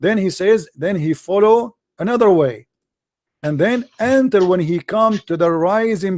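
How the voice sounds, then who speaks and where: Speaking very slowly with lively intonation, a man with an Arabic accent is recorded with a dry, close sound and no echo. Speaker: religious debater. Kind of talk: heated debate. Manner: animated.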